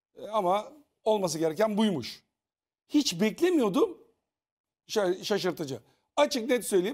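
Speech at a fairly slow pace is broken by long, frequent pauses and swings very widely in pitch against a quiet background. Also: man. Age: 50s. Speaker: TV panelist, former reality show contestant; TV panel commentator. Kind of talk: casual panel discussion. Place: studio.

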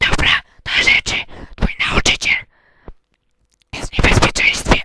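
At a moderate pace, a raspy, put-on character voice speaks at an extremely high pitch. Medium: machinima. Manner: solemn, prophetic.

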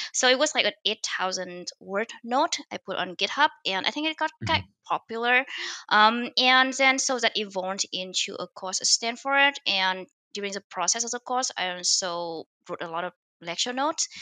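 Bright, sharp female voice with lively intonation, in a dry sound with no echo and a quiet background. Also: moderate pace. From Vietnam. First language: Vietnamese. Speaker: machine learning author and startup founder. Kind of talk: interview. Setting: remote call. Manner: hesitant, many fillers. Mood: relaxed, friendly. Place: home room. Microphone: headset.

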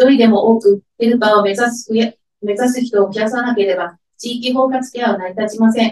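A woman in monotone, flat intonation with audible room echo. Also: fairly quick pace. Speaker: head of care division at a welfare organization. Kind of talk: press conference statement. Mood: earnest, measured protest tone. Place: meeting room.

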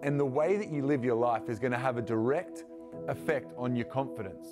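The speech moves at a fairly quick pace over clear music in the background. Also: man. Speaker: youth pastor. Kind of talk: sermon. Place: studio.

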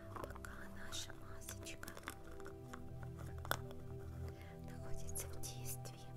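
A woman at a very slow pace over faint music in the background. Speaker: ASMR creator. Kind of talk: ASMR skincare role play. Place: home room.

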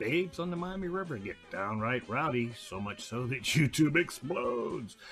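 Over faint background music, a man talks at a moderate pace with very wide pitch swings. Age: 60s. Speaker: amateur astronomer and YouTuber. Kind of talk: casual channel intro to camera.

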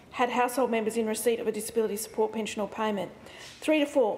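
A woman with fairly even intonation. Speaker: government minister answering question. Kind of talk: parliamentary answer read aloud. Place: hall. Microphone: podium.

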